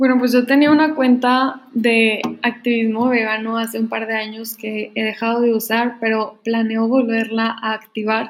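The delivery is monotone and flat, with hardly any pauses. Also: woman, fairly high pitch for a woman, fairly slow pace. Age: 20s. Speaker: engineering student and vegan activist. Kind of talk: casual chat.

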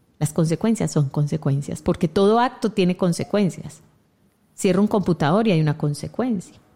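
A woman with a fairly low pitch and dark, mellow tone sounds somewhat breathy, using lively intonation at a moderate pace and very even loudness. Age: 40s. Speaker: radio host and family constellations therapist. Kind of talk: reflective talk show conversation. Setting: online radio studio.

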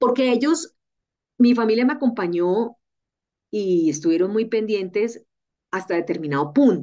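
A woman's dark, mellow tone at a fairly slow pace, with very wide pitch swings and long, frequent pauses. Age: 40s. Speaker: health journalist. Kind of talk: casual interview chat. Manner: animated.

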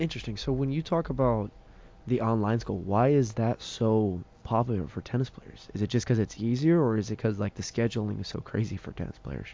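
Fairly quick pace, medium pitch and ordinary pitch variation from a man with a plain, everyday voice. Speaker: college baseball player and podcast host. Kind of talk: casual interview.

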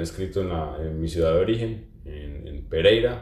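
With lively intonation, a man speaks in a fairly low, somewhat breathy voice with a dark, mellow tone. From Colombia. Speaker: social communicator and journalist. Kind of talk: casual chat. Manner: halting, many repetitions and fillers.

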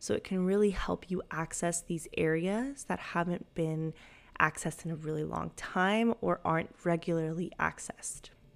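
Speaking with a Spanish accent, a woman uses a fairly low pitch, ordinary pitch variation and a moderate pace. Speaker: life coach and yoga instructor podcast host. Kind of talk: solo podcast monologue.

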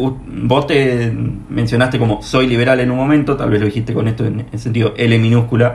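A man's somewhat breathy voice at a medium pitch, monotone and flat, at a fairly quick pace. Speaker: podcast host. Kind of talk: interview.

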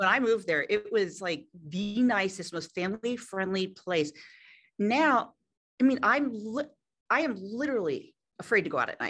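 A woman's fairly high voice, moderate in pace, with lively intonation, long and frequent pauses, and a quiet background. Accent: Philadelphia. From Philadelphia. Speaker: fitness entrepreneur. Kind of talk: interview.

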